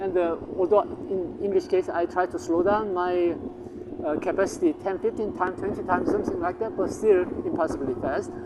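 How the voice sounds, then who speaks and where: Over noticeable background noise, a man with a Korean accent speaks fairly quickly in a high pitch with very wide pitch swings. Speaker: language teacher, channel owner. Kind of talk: casual promotional talk to camera. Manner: halting, many fillers.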